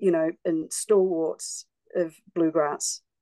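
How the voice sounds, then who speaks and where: The sound is dry and close, with no echo. In an Australian accent, the voice has a dark, mellow tone and monotone, flat intonation. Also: woman. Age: 60s. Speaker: singer-songwriter. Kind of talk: interview.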